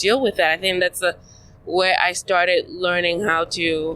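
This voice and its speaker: In a Nigerian accent, a woman talks at a moderate pace. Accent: Nigerian, noticeable to Americans. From Nigeria (south-south, coastal). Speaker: podcast guest. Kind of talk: casual chat. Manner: halting.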